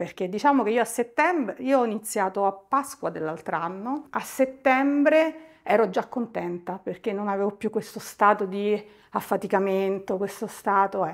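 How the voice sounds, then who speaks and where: A woman's medium-pitched voice, lively intonation, moderate pace, quiet background. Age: 50s. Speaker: client giving a testimonial. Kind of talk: testimony. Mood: warm, content. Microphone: lapel.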